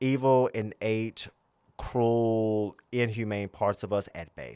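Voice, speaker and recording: On a very clean recording with a silent background, a man with a Southern US accent speaks at medium pitch. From US South, southern Virginia. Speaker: spiritual guide and religious founder. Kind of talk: casual conversational interview.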